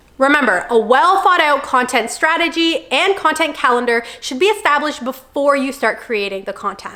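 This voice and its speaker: A woman uses a raised, projected voice at a high pitch with hardly any pauses. Noticeable background noise is present. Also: lively intonation. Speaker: content creator. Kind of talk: tutorial. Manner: fast.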